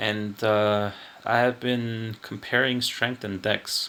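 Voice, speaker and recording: Noticeable background noise accompanies a man speaking in a medium pitch. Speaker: gaming guide youtuber. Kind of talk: tutorial. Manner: halting, frequent stutters and fillers; thinking aloud while speaking.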